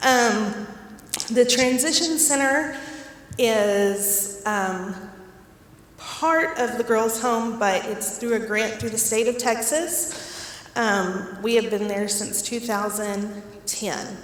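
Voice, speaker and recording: There is noticeable background noise and audible room echo. A woman with a fairly high pitch speaks at a very slow pace. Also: ordinary pitch variation. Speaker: director of a foster care program. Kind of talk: community talk.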